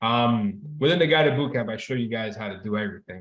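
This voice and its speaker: Speaking with a Spanish accent, a man varies his pitch in an ordinary way. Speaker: trading teacher. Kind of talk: online class. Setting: video call. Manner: casual, animated.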